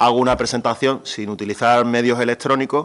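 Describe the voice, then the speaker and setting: In an Andalusian accent, the speaker keeps a fairly even intonation. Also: man. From Andalusia, Spain. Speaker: regional government official. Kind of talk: presentation. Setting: public event with audience.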